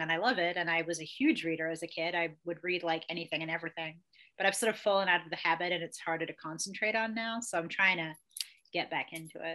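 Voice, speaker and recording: Speaking at a fairly quick pace, a woman has a bright, sharp tone. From England and Australia. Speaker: former tarot card reader. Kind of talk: casual chat. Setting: video call.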